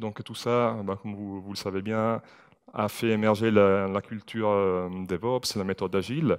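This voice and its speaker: Over a quiet background, a man speaks at a fairly slow pace. His voice is fairly low, with fairly even intonation. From Italy. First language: Italian (speaking French). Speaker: IT security manager. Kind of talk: conference talk. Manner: hesitant, many fillers.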